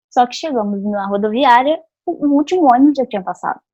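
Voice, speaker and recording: Lively intonation marks a woman's unremarkable speaking voice, delivered at a moderate pace. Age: 20s. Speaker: psychologist and youth club trainer. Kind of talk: training lecture.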